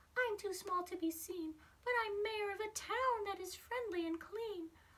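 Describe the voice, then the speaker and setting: Putting on a squeaky character voice, a woman talks at a moderate pace with an extremely high pitch. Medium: read story.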